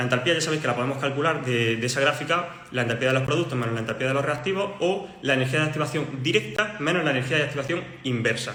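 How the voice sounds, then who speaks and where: Over noticeable background noise and audible room echo, a man talks very fast at a fairly high pitch with ordinary pitch variation. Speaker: chemistry tutor. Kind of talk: livestream lesson. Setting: livestream.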